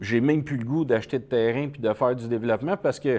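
Against a quiet background, a man with a Quebec accent speaks at a medium pitch with ordinary pitch variation. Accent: Québécois French. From Quebec, Montreal. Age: 50s. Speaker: entrepreneur. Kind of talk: interview.

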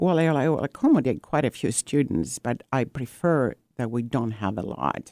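With a Greek accent, the speaker talks at a fairly slow pace in a dark, mellow tone with ordinary pitch variation. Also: woman. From Greece (Corfu family). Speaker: painter and ceramic artist, art retreat founder. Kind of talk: radio interview. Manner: hesitant with many fillers.

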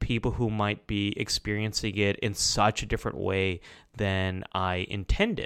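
On a very clean recording with a silent background, a man with an American accent and an unremarkable speaking voice talks at a fairly slow pace, fairly low in pitch, with fairly even intonation. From US, Pakistani American family. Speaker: clinical psychologist and YouTuber. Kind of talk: interview conversation.

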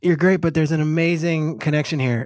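A man with an ordinary speaking voice, fairly high pitch and fairly even intonation, in a dry, close sound with no echo. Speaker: NFL analyst. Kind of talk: casual sports discussion.

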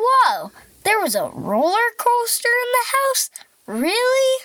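A woman's squeaky put-on character voice, extremely high in pitch, at a fairly slow pace. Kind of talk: kids' show host. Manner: upbeat, playful, silly.

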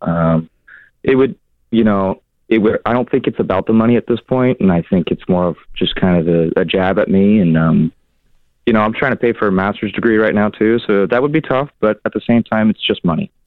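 Using an ordinary speaking voice, a man with an American accent talks at a fairly quick pace in a fairly low pitch, with ordinary pitch variation and very even loudness. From Seattle. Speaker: caller. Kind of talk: casual chat. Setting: phone call.

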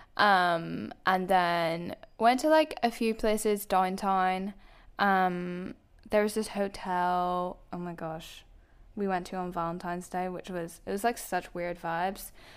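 A woman speaks with a Belfast accent at a fairly slow pace, her pitch medium with ordinary variation. The recording is very clean, with a silent background. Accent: Northern Irish, soft Belfast. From Belfast, Northern Ireland. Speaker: YouTuber. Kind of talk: casual chat.

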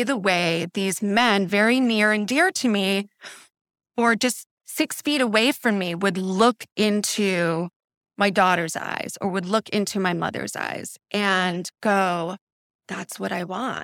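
A woman with an unremarkable speaking voice talks at a fairly slow pace in a medium pitch, with ordinary pitch variation, in a dry, close recording without echo that is very clean over a silent background. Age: 40s. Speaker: coaching client. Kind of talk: candid interview about personal life.

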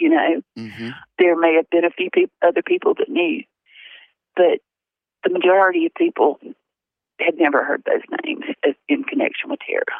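Speaking with a Southern US accent, a woman uses a high pitch and very wide pitch swings, moving at a fairly quick pace between long, frequent pauses. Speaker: mother of deceased reporter. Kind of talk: testimony. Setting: phone call.

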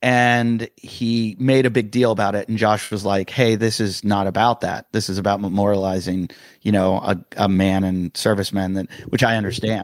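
With an ordinary speaking voice, a man talks at a moderate pace with hardly any pauses, his fairly low pitch held in fairly even intonation. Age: 50s. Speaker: stand-up comedian. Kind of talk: casual chat. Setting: video call.

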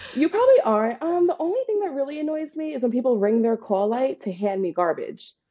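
Hardly pausing at all, a woman with an American accent speaks at a high pitch with very wide pitch swings. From Staten Island, New York. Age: 20s. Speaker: bartender and flight attendant. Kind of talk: casual chat.

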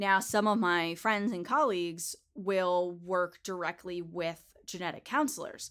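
A woman with an unremarkable speaking voice at a medium pitch, with ordinary pitch variation, a fairly slow pace and hardly any pauses, on a very clean recording with a silent background. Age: 20s. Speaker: genetic counselor and podcaster. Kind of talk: casual interview chat.

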